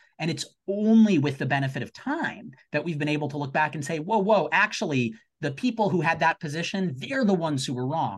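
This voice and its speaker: Lively intonation runs through this man's speech. His voice is somewhat breathy. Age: 30s. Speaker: law professor. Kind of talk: panel discussion. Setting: video call.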